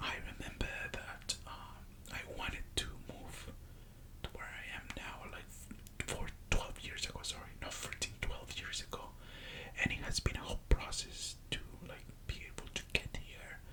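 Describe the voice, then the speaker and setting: Someone whispers at a fairly slow pace over noticeable background noise. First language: Spanish. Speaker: ASMR creator. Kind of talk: soft-spoken ASMR story time talking to camera. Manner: soft-spoken, slow, hesitant.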